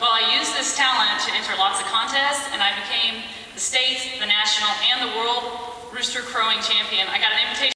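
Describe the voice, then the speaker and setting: Strong room echo and light background noise surround a woman talking at a fairly quick pace with fairly even intonation. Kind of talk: stage self-introduction. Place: stage. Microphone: podium.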